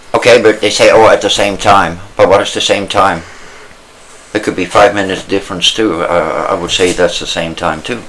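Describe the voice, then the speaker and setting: A man talks at moderate speed while noticeable background noise persists. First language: not English. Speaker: podcast co-host. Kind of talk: casual chat. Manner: halting.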